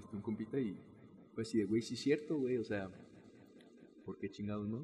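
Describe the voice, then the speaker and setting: Over music in the background, a man talks in a fairly low pitch with fairly even intonation. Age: 20s. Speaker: podcast host. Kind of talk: casual chat.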